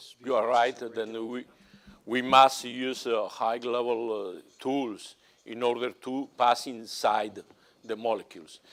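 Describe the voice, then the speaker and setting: A man with a Spanish accent speaks very slowly in a flat monotone, with big swings in loudness. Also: medium pitch for a man. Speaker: analytical chemistry professor. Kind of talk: conference Q&A answer. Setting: conference stage with audience. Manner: halting.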